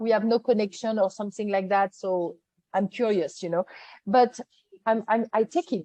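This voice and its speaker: A woman's dark, mellow voice at medium pitch, with a French accent and ordinary pitch variation. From France. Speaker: event producer, business owner. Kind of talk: interview answer.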